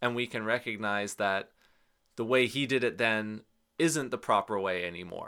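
In a very clean recording with a silent background, a man with a western Canadian accent speaks fairly slowly at a medium pitch, his tone bright and sharp and his intonation fairly even. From British Columbia, Canada. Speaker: jazz and folk bassist. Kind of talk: interview.

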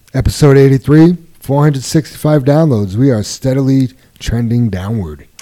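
A man with a dark, mellow tone. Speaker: podcast host. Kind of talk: casual chat.

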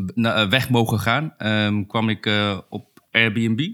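A man speaks with a fairly low pitch and a bright, sharp tone. The recording is very clean with a silent background. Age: 30s. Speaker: UX designer. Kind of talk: casual chat.

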